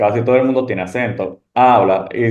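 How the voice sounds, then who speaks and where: A man with a medium-pitched voice talks at a moderate pace, with audible echo from the room. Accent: Dominican. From Dominican Republic. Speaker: medical resident. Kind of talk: panel discussion.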